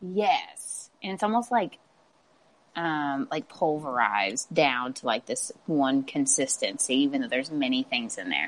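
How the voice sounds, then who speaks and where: A woman with a very deep, low voice speaks at a fairly slow pace, her pitch swinging very widely. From Kentucky (Owensboro). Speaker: interviewee. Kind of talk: casual chat.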